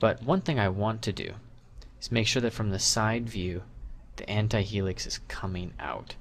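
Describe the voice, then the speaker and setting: Ordinary pitch variation marks a plain, everyday voice talking at a moderate speed. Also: man. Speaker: 3D sculpting instructor. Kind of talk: tutorial.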